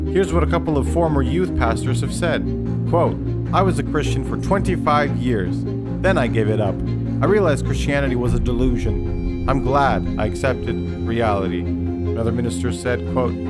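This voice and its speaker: Music plays in the background as a man speaks at a moderate pace in a very deep, low pitch. His pitch swings very widely while his loudness stays very even. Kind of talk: promotional trailer voiceover.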